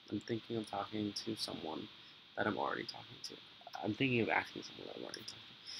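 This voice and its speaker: A man's very fast speech, fairly even in intonation, over noticeable background noise. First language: Spanish. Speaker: vlogger. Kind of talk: casual vlog monologue. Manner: halting, many fillers.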